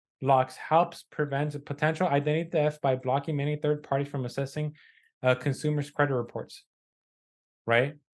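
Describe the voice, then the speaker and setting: Speaking at a moderate pace, a man holds a fairly high pitch in a flat monotone. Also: quiet background. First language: not English. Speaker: podcast co-host, credit repair business owner. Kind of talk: casual news discussion, reading articles aloud. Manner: halting, with fillers and self-corrections.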